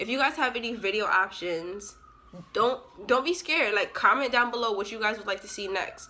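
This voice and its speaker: An animated woman's voice, fairly high in pitch, with ordinary pitch variation. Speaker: YouTuber. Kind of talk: storytime vlog. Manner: fast.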